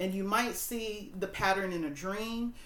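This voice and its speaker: A woman speaks at a moderate pace with a medium pitch and fairly even intonation. Room echo is audible. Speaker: tarot reader and spiritual coach. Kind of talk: tarot reading to camera. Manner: casual, halting with fillers.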